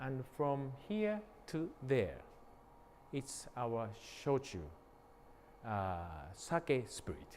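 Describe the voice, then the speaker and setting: A man with a Japanese accent, very wide pitch swings, a very slow pace and long, frequent pauses. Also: medium pitch for a man. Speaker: sake brewery owner. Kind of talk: guided tour. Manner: halting.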